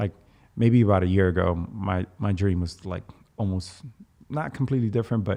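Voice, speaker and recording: A man with a dark, mellow tone and a slight Dominican accent talks at a fairly quick pace in a fairly low pitch, with ordinary pitch variation and long, frequent pauses. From Dominican Republic. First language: Spanish. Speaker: navy veteran turned actor. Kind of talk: casual chat.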